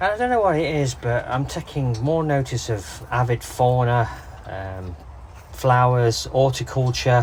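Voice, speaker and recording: A man talks at a medium pitch with an English accent. His pace is fairly slow, with ordinary pitch variation. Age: 60s. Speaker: canal boat vlogger. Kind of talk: casual vlog. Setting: outdoors on canal towpath. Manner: hesitant, many fillers.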